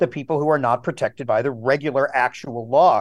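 Against a quiet background, a man speaks with an American accent. His fairly high pitch shows ordinary variation. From Wisconsin, US. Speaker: historian, professor. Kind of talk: interview, analytical commentary. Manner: frequent fillers, hesitant.

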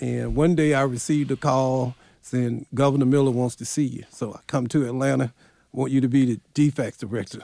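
With a Southern US accent, a man talks at a fairly quick pace in a medium pitch, his tone dark and mellow. His intonation is fairly even, and the sound is dry and close with no echo. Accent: Southern US (Georgia). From US South, rural Clarke County, Georgia. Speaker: county executive and historian. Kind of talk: interview.

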